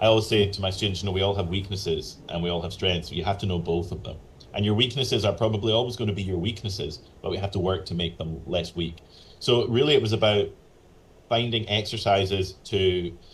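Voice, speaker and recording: A somewhat breathy man, fairly low in pitch, at a very fast pace with fairly even intonation. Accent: Northern Irish. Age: 40s. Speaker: professional flutist and flute teacher. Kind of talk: interview conversation. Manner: casual, with fillers and restarts.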